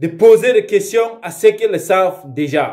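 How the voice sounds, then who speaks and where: Here a man speaks at a very slow pace. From Cameroon, Nkambe (Northwest Region). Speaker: pan-African activist. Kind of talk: political address to camera. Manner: halting, with hesitations.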